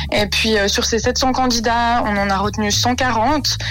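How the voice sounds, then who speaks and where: Amid audible room echo, a woman talks with music in the background. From Switzerland, canton of Vaud. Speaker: beauty pageant winner. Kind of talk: radio interview. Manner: hesitant with fillers.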